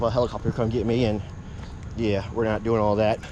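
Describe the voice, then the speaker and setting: This man's speech moves along fairly quickly. He has an American accent. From Virginia, Hampton Roads area. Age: 50s. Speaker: mountain biking vlogger. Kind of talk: casual vlog narration. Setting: outdoors on bike trail.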